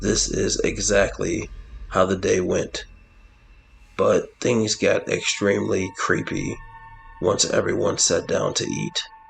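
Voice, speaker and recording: Over music in the background, a man uses a raspy put-on character voice at a fairly slow pace, with long, frequent pauses. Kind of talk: horror narration. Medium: solo performance. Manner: measured, dramatic.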